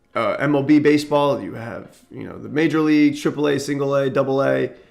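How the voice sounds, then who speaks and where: A man talks at a fairly quick pace in a fairly high pitch. His intonation is flat and monotone, while his loudness swings widely. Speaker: crypto content creator. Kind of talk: tutorial. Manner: reading aloud with explanations; occasional stumbles and fillers.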